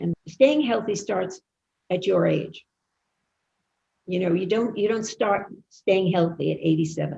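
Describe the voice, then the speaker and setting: A woman with vocal fry and a dark, mellow tone speaks in a medium pitch with ordinary pitch variation. Her pace is fairly slow, broken by long, frequent pauses. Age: 80s+. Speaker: psychotherapist, actress, talk show host. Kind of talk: interview answer.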